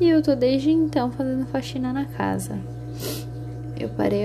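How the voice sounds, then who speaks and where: A woman keeps a moderate speed as background noise is noticeable behind her. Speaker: vlogger. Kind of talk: personal video diary. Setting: at home, early morning. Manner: halting.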